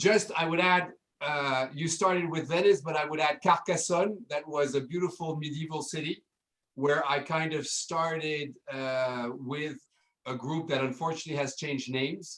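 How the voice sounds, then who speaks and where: Using a French accent, a man talks at a moderate pace and fairly high pitch with fairly even intonation. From France. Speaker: hotel general manager. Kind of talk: casual interview.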